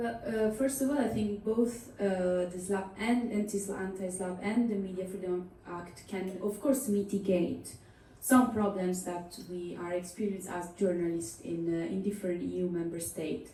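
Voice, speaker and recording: A woman speaks in an Italian accent at a moderate pace, with hardly any pauses, a medium pitch and ordinary pitch variation. The room echo is audible and there is noticeable background noise. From Italy. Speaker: journalist. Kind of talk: panel discussion. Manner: hesitant, many fillers.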